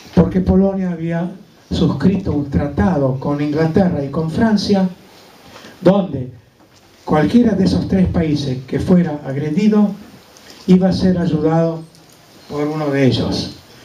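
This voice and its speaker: The speaker goes at a fairly slow pace with long, frequent pauses and ordinary pitch variation, amid audible room echo and noticeable background noise. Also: man, fairly high pitch for a man. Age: 80s+. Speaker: Holocaust survivor speaker. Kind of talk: testimony. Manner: halting.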